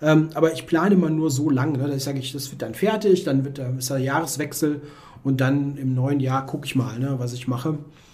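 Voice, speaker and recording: The speech moves at a fairly quick pace with fairly even intonation. Noticeable background noise and audible room echo are present. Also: man, fairly high pitch for a man. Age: 40s. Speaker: chess author. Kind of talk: casual chat.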